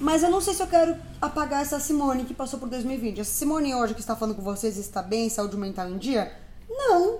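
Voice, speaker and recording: Noticeable background noise and audible room echo surround this woman's high-pitched voice. She talks at a fairly quick pace with very wide pitch swings. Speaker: podcast co-host. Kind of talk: casual chat. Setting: recording at home.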